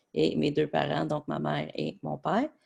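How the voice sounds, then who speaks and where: A man talks at a fairly slow pace with a Quebec accent. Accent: Québécois French. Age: 20s. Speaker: sports journalist. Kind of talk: presentation. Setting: webinar. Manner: hesitant, many filler words.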